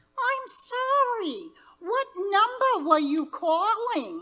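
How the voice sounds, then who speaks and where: Putting on a squeaky character voice, a woman speaks at an extremely high pitch with very wide pitch swings and a very slow pace. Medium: stage play. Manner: polite, formal.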